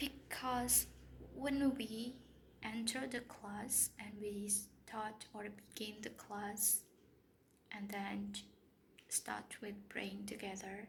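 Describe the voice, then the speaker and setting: A woman with a non-native accent speaks at a very slow pace with long, frequent pauses. Her medium pitch holds fairly even intonation amid audible room echo. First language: not English. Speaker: English teacher. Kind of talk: casual vlog monologue. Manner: halting, many fillers and restarts.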